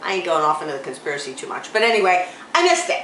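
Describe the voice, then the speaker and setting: The speaker talks loudly at a fairly quick pace with very wide pitch swings, with noticeable background noise and audible room echo. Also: woman. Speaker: talk show co-host. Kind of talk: casual chat. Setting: local library.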